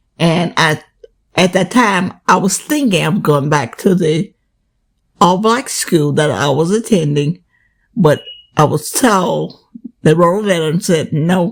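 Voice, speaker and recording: Speaking with a Southern US accent, a woman uses ordinary pitch variation and takes long, frequent pauses. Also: fairly low pitch for a woman. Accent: Southern American English. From Southern United States. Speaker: grandmother sharing oral history. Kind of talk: interview answer.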